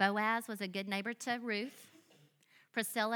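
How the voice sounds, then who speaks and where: On a very clean recording with a silent background, a woman in a Southern US accent speaks with a bright, sharp tone, fairly high pitch and fairly even intonation. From US South. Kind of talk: sermon. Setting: church with audience.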